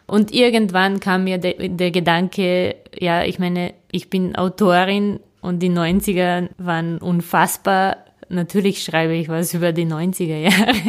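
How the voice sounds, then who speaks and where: A woman with a Serbian accent and a fairly low pitch, very slow and in a monotone, flat intonation, on a very clean recording with a silent background. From Serbia, Belgrade. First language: Serbian (speaking German). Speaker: novelist. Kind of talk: interview. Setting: in person at her writing office. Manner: hesitant, many fillers.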